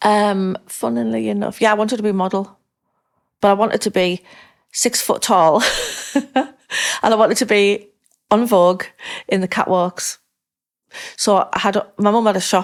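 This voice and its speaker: A woman with a northern English accent, at a fairly quick pace broken by long, frequent pauses, with ordinary pitch variation. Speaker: interviewee.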